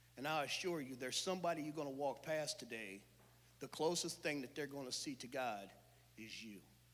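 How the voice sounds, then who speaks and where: A man talks at a fairly quick pace with a fairly high pitch and ordinary pitch variation. Audible room echo surrounds his voice. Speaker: church speaker. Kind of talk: sermon. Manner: loud; animated.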